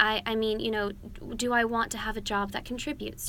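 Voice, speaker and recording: A woman with an American accent, fairly quick and bright, sharp in tone, with audible room echo. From United States. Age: 20s. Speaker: political commentator. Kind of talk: interview. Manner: articulate, measured.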